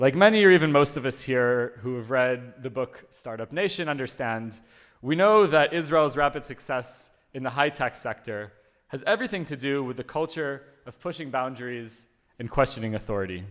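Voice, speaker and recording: With an American accent and an unremarkable speaking voice, a man of medium pitch talks at a moderate pace, his intonation lively and his loudness swinging widely. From US (born in Uruguay). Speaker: conference speaker. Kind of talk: conference talk.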